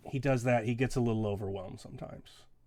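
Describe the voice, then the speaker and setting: A man puts on a raspy character voice at a medium pitch. He speaks very fast with fairly even intonation. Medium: actual play. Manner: gentle, reassuring.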